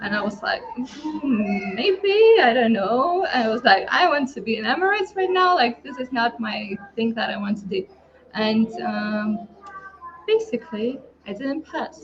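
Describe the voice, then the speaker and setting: Against noticeable background noise, a woman with a Lithuanian accent speaks at a fairly slow pace with very wide pitch swings. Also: fairly high pitch for a woman. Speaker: online entrepreneur. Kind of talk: personal story in group hangout. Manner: hesitant, many fillers.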